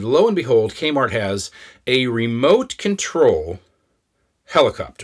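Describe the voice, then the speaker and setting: A man talks in a Midwestern American accent. His voice sits at a medium pitch. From Kansas. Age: 50s. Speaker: podcast host and storyteller. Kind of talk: personal storytelling. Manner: casual, conversational.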